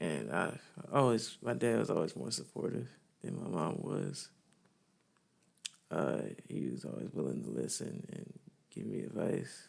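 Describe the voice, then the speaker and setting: Very deep, low male voice with very wide pitch swings, a fairly slow pace and long, frequent pauses. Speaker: vlogger. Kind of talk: personal testimony. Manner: halting, many fillers.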